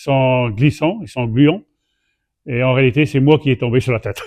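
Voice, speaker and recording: Ordinary pitch variation from a man at medium pitch, moving at a moderate speed. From Saint-Pierre-et-Miquelon. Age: 60s. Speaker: association president, dory boat enthusiast. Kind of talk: interview testimony. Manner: halting, with hesitations.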